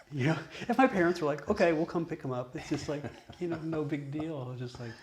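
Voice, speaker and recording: A man speaks with noticeable background noise in the clip. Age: 60s. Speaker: Buddhist monk and video host. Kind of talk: casual conversation.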